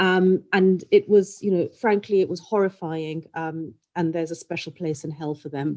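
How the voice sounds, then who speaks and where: In a normal speaking voice, a woman talks at a moderate pace with a fairly low pitch, fairly even intonation and hardly any pauses. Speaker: clothing brand executive, panelist. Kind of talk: panel discussion. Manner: frequent ums.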